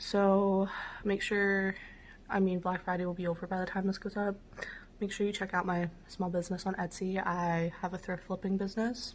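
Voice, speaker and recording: A woman with an American accent speaks at medium pitch and a moderate pace, sounding somewhat breathy. Her intonation is monotone and flat. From Pennsylvania. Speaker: vlogger, college student and small business owner. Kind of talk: casual vlog.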